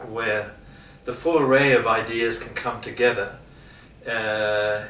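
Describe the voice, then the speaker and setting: Noticeable background noise surrounds a man with an Australian accent. He speaks at medium pitch and a fairly slow pace with fairly even intonation. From Geelong, Australia. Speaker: university lecturer on leadership. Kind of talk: interview answer.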